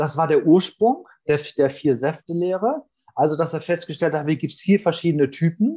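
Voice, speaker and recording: This man has a high pitch and a dark, mellow tone, speaking at a moderate pace with ordinary pitch variation. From northern Germany. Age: 40s. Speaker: sales trainer. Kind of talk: interview.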